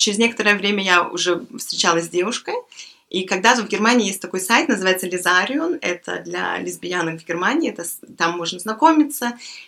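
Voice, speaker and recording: The voice is a plain, everyday voice, belonging to a woman at a medium pitch. She talks at a fairly quick pace with lively intonation. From Belarus. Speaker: guest. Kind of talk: casual chat.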